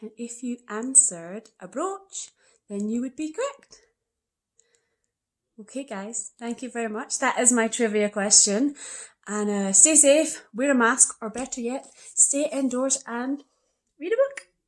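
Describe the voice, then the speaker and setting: A woman with a Scottish accent and a high pitch talks at a fairly slow pace with long, frequent pauses, ordinary pitch variation and big swings in loudness. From Scotland. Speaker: young adult author. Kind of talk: book trivia presentation.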